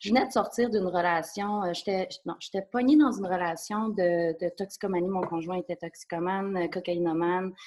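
A woman's medium-pitched voice with a Quebec accent, ordinary pitch variation, and a moderate pace. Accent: Québécois French. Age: 30s. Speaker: psychotherapist. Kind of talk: interview testimony. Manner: halting.

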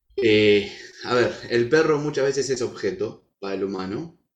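A man of medium pitch with a Rioplatense accent, speaking at a fairly slow pace. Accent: Argentine Rioplatense Spanish. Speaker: dog and horse trainer. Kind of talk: interview conversation.

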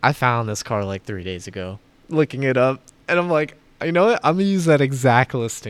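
On a very clean recording with a silent background, a man of medium pitch with an American accent moves through very wide pitch swings at a fairly quick pace. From Florida. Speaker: car podcast co-host. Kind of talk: casual chat.

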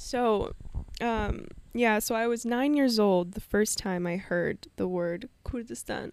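A woman with a Canadian accent and a fairly high pitch, very slow pace and ordinary pitch variation, in a very clean recording with a silent background. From Canada, Vancouver. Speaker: podcast host, spiritual coach. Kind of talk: personal storytelling monologue.

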